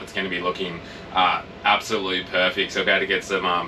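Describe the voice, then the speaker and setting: With music in the background, a man talks at a very fast pace in an Australian accent. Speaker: travel vlogger. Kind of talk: casual chat. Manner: loud.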